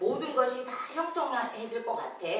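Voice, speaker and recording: A woman talks in a room with audible echo. Noticeable background noise sits behind her. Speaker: pastor. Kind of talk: sermon. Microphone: no mic at first, volume adjusted.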